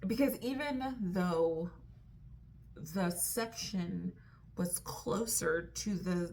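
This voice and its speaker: Speaking at a very slow pace, a woman keeps her voice quiet and fairly low in pitch, with ordinary pitch variation. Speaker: vlogger. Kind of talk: casual vlog chat. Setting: hotel room at night. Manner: hesitant, many fillers; lowered voice, quiet.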